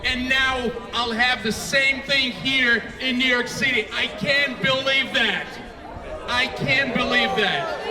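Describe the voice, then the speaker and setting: A man speaks in a raised, projected voice at an extremely high pitch and a very slow pace, his loudness very even and his intonation flat and monotone. Crowd noise sits in the background, and the room echo is audible. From Soviet Union (Moscow). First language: Russian. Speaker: politician. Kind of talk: rally speech. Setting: outdoor rally with crowd. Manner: halting, repetitive.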